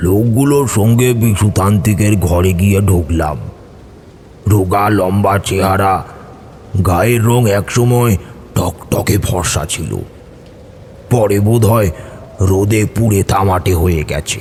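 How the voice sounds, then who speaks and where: Over clear background noise, a man does a put-on character voice at a fairly low pitch and a fairly slow pace. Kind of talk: horror narration. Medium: audio drama.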